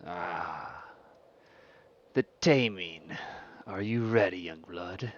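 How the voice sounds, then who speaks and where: In a put-on character voice, a man speaks at a very slow pace and fairly low pitch, with long, frequent pauses. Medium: actual play. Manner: commanding, menacing.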